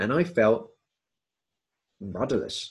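Speaking with a southern English accent, a man moves at a fairly slow pace, his voice somewhat breathy and his intonation lively. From southwest London area, England. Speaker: podcast host. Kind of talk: scripted narration.

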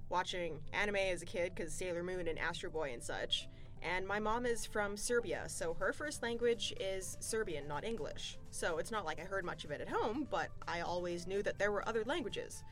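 With music playing behind her, a woman speaks at a medium pitch in a Southern California accent, her intonation lively. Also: moderate pace. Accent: valley girl. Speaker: podcast guest.

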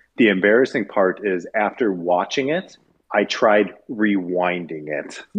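Speaking fairly slowly, a man has a normal speaking voice, fairly low in pitch with ordinary pitch variation. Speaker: podcast co-host. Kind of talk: casual chat.

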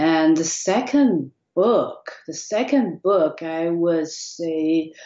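At a very slow pace, a woman speaks in a fairly low pitch with ordinary pitch variation. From Taiwan. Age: 30s. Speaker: e-commerce entrepreneur. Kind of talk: interview.

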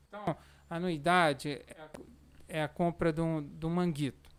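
Fairly even intonation marks this man's speech, pitched fairly high. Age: 40s. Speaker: amateur cyclist and cycling association president. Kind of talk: casual podcast interview. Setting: studio, live-streamed.

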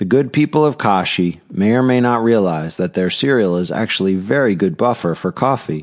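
A man has an unremarkable speaking voice at a fairly low pitch. His intonation is lively and his pace moderate. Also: quiet background. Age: 40s. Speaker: novelist and podcaster. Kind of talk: reading aloud.

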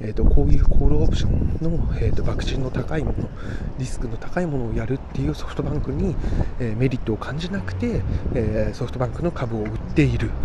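A man speaks at a very fast pace. Audible room echo and noticeable background noise fill the recording. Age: 30s. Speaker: office worker podcaster. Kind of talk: casual monologue vlog. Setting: outdoors walking home. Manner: mumbling; halting, many fillers.

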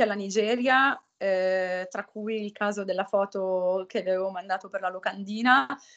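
Someone speaks at a fairly slow pace against a quiet background. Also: woman. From northern Italy. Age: 30s. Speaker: humanitarian aid worker. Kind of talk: interview. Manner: halting.

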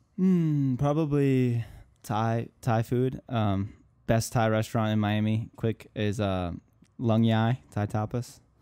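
A man's medium-pitched voice, dark and mellow in tone, with an American accent, ordinary pitch variation and a very slow pace, on a very clean recording with a silent background. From Minnesota, US Midwest. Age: 20s. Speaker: content creator and musician. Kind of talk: casual interview chat.

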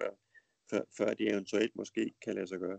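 A man with vocal fry talks at a moderate pace and fairly even intonation in a dry, close sound with no echo. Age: 50s. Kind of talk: casual conversation. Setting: Skype call. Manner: hesitant, many fillers.

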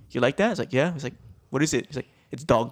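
A man speaks at a medium pitch. His pitch variation is ordinary. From Hawaii, Maui. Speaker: podcast co-host. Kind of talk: casual chat. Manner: animated.

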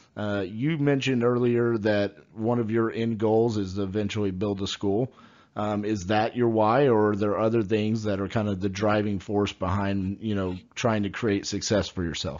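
A fairly low-pitched man with a Texan accent, moderate in pace, his intonation fairly even. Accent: Texan American English. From Texas, Fort Worth. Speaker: podcast host, real estate. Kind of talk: interview.

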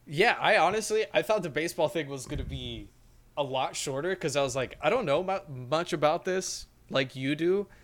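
In an ordinary speaking voice, a man talks at a moderate pace with a fairly high pitch and ordinary pitch variation, recorded very cleanly against a silent background. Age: 20s. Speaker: podcast co-host. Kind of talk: casual chat.

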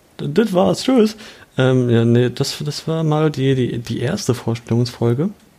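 A man with a medium pitch and a dark, mellow tone speaks fairly slowly with lively intonation. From Germany, Kaiserslautern (Palatinate). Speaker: podcast co-host, student. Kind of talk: casual chat. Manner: halting.

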